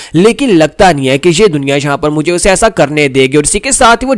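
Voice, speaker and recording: Using a plain, everyday voice, a man talks at a moderate pace. His pitch is fairly high and his intonation lively. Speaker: voice-over narrator. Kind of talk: manhwa recap narration. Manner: casual, conversational storytelling.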